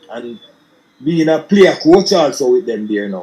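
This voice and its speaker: A man speaks with a Jamaican accent. His pace is moderate. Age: 60s. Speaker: former footballer and coach. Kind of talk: interview. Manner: halting, many repetitions.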